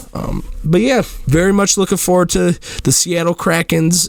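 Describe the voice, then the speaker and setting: Noticeable background noise is present. A man speaks at a moderate pace with ordinary pitch variation. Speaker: podcast host. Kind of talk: casual monologue podcast. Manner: halting, repeats words.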